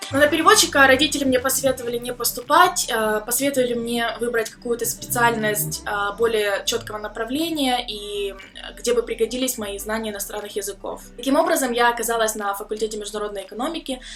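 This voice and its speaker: Music plays in the background as a woman talks very fast at a fairly high pitch with ordinary pitch variation. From Ukraine. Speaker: vlogger, student abroad. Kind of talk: personal vlog story. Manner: casual with filler sounds.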